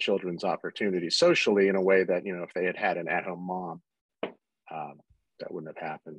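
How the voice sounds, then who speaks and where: A man with a very deep, low voice talks at a very fast pace in a monotone, flat intonation. Long, frequent pauses break up the dry, echo-free sound against a quiet background. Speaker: stay-at-home dad; podcast guest. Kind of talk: interview conversation. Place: home room. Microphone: webcam.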